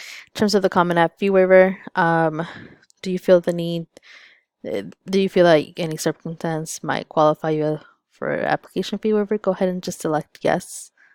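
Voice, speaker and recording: A woman with a Spanish accent, fairly low-pitched, at a moderate pace with fairly even intonation, in a very clean recording with a silent background and a dry, close sound with no echo. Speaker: school counselor. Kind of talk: tutorial. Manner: casual, frequent fillers.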